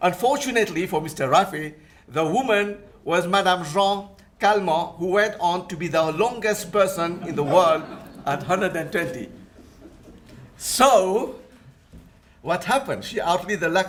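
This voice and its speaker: A man with a French accent speaks at a moderate pace, his high pitch moving with ordinary variation. Long, frequent pauses and audible room echo mark the clip. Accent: French-tinged. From Mauritius. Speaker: Islamic finance scholar and lecturer. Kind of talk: conference presentation.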